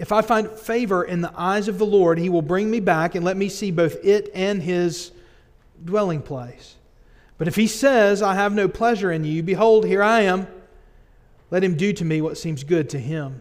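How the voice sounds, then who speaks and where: Against a quiet background, a man with a high pitch talks at a moderate pace with ordinary pitch variation. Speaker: pastor. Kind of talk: scripture reading in a sermon. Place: church. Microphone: podium.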